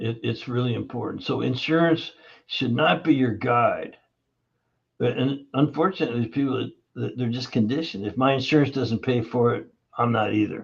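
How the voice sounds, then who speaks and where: Vocal fry marks this man's voice, pitched at a medium level. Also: ordinary pitch variation, moderate pace. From Canada, Toronto. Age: 70s. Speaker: holistic health practitioner. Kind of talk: podcast interview.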